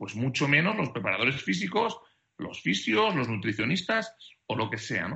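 Delivery moves at a middling speed. The pitch leaps up and down enormously. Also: man, medium pitch for a man. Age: 30s. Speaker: basketball sports director. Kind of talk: interview.

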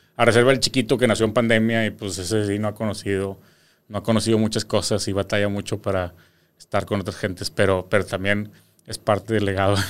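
A man talks at a very fast pace in a Mexican accent. His fairly low pitch stays monotone and flat. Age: 30s. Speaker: social media entertainer. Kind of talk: casual interview chat. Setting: studio.

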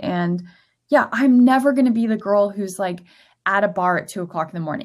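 A woman with an American accent has an ordinary speaking voice at a medium pitch. Her pitch varies in an ordinary way. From Florida. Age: 30s. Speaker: lifestyle blogger. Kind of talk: casual chat.

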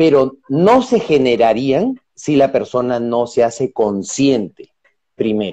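With very wide pitch swings, a man speaks at a fairly high pitch in a dark, mellow tone. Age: 40s. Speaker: change facilitator and coach. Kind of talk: interview on live stream. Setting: Instagram live video call.

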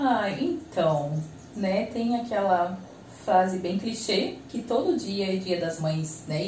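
A woman with a medium pitch speaks at a very slow pace with lively intonation. Audible room echo and noticeable background noise fill the recording. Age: 30s. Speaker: mother of four interviewed on podcast. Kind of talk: casual interview chat. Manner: casual, many fillers.

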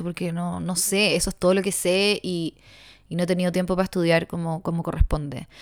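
On a very clean recording with a silent background, a woman with a Chilean accent speaks fairly quickly in a fairly low, monotone, flat voice. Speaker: podcaster. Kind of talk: solo monologue. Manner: rambling, halting.

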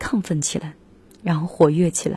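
A woman with a relaxed tone and a very deep, low pitch talks at a moderate pace. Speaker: radio music show host. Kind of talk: casual radio talk between songs. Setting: radio studio. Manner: relaxed and informal.

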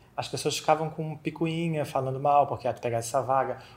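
In a Florianópolis accent, a somewhat breathy man speaks at a very fast pace and a fairly high pitch, with fairly even intonation. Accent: Florianópolis accent, noticeable. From Florianópolis, southern Brazil. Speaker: accountant. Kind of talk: casual interview chat.

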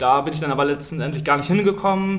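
A man talks at a fairly quick pace. The recording carries noticeable background noise and audible room echo. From northern Germany, district of Stade. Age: 20s. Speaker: handball goalkeeper. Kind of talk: casual interview. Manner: hesitant, many fillers.

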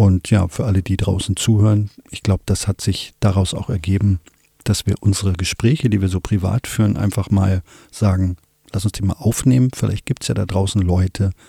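In a dry, close sound with no echo, a man with a fairly low, somewhat breathy voice and a dark, mellow tone speaks at a moderate pace with fairly even intonation. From Wolfsburg, Lower Saxony, Germany. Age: 50s. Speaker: filmmaker and podcast co-host. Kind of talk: casual chat.

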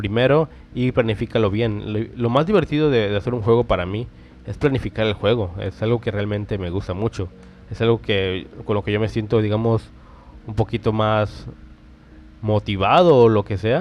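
Music is playing in the background. The speaker's pitch varies in an ordinary way. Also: man, fairly low pitch for a man. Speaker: podcast host, game developer. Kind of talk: casual tutorial monologue. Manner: fast; animated.

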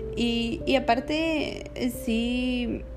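Music plays in the background. Over it, a woman talks with a high pitch. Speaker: podcast host. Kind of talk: casual solo monologue.

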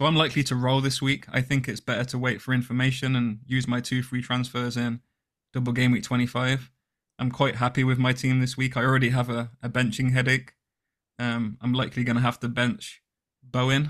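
Monotone, flat delivery in an English accent at a fairly quick pace. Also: man. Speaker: podcast co-host. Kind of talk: casual chat. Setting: video call.

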